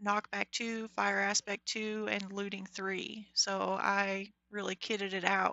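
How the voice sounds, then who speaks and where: A woman speaks quietly and fairly slowly at a medium pitch, her intonation monotone and flat. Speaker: Minecraft livestreamer. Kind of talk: live gameplay commentary. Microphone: mic volume reported as bad.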